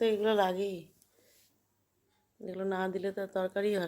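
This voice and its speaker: A soft-spoken woman at a medium pitch, her dark, mellow tone delivered with monotone, flat intonation. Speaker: home cook. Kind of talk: cooking tutorial.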